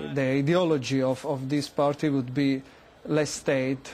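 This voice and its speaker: A man with an Italian accent speaks in a fairly high pitch, his intonation flat and monotone. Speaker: political historian, university lecturer. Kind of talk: news interview. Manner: halting, many fillers and restarts.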